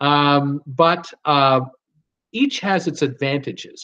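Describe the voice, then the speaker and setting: Against a quiet background, the speaker uses ordinary pitch variation in a Canadian accent. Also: man. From Ontario, Canada. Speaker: YouTube cruise channel host. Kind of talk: live stream chat reading viewer comments. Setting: live stream from home. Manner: casual, halting with many fillers. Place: home room. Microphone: webcam.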